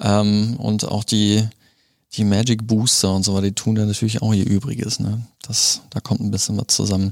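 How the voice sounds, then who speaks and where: At a moderate pace, a man speaks in a fairly low pitch with flat, monotone intonation. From Germany, moved around. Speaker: board game shop owner. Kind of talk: casual interview. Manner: halting, many fillers.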